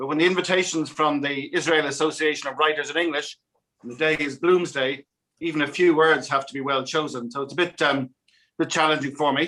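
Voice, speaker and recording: An Irish-accented man at a fairly quick pace, bright and sharp in tone, with monotone, flat intonation. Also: fairly high pitch for a man. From Ireland, Dublin. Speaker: ambassador. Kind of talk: welcoming speech. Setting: video call. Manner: hesitant, many ums.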